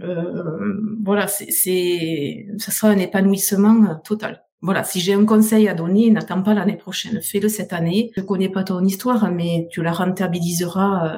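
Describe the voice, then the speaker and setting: A woman speaks very slowly in a dark, mellow tone that is somewhat breathy. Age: 50s. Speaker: beauty salon owner. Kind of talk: testimony.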